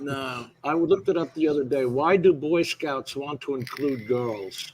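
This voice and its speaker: A man with a plain, everyday voice talks at a fairly slow pace and fairly high pitch, with ordinary pitch variation. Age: 60s. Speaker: drone show panelist, Marine veteran. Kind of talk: casual chat.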